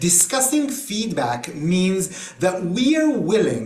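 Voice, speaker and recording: With an Israeli accent and a high pitch, a man speaks at a very slow pace with very wide pitch swings, amid noticeable background noise and audible room echo. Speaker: trainer. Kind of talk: online workshop. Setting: video call. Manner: hesitant with many fillers.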